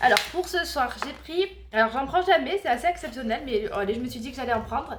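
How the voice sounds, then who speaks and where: A woman's high pitch and lively intonation over noticeable background noise. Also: fairly quick pace. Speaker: family vlogger. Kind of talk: casual vlog. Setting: home kitchen.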